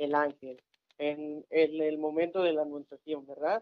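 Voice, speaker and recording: A man talks at a moderate pace in a fairly high pitch. It's an unremarkable speaking voice. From Mexico, Tamaulipas (Ciudad Victoria). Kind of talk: casual religious talk show.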